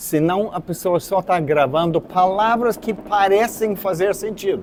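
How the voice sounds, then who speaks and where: A man speaks at a fairly slow pace in a high voice. His intonation is lively. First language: not Portuguese (speaking Portuguese). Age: 70s. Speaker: artist and art teacher. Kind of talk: lecture. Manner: halting, many fillers.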